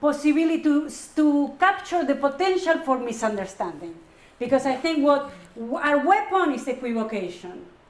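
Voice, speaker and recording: A high-pitched woman in a Spanish accent at a moderate pace, with very wide pitch swings, audible room echo and noticeable background noise. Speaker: psychoanalyst and professor. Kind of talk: Q&A after a lecture.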